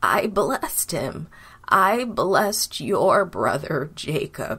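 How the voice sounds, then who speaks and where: A raspy, put-on character voice at a very slow pace, with very wide pitch swings. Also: woman, medium pitch for a woman. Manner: sad.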